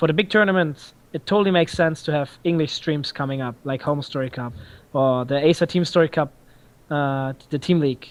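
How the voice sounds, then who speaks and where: A man in a German accent speaks at a fairly quick pace with a fairly high pitch. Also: ordinary pitch variation. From Germany. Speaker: esports tournament organizer and caster. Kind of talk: podcast interview. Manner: halting, many fillers.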